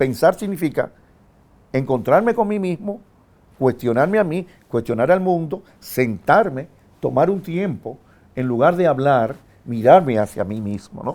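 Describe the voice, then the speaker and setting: With a Dominican accent, a man talks at a fairly slow pace and a fairly high pitch. His dark, mellow tone carries very wide pitch swings. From Dominican Republic. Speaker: philosopher and university professor. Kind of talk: interview answer.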